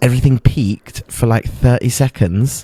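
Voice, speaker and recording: Whispering at a moderate pace, a man is heard with a dry, close sound with no echo. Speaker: comedian; podcast co-host. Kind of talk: casual chat. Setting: video call. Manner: whispering a bit.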